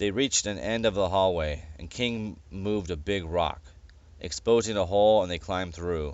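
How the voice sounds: Natural-sounding reading, with pitch varying in an ordinary way.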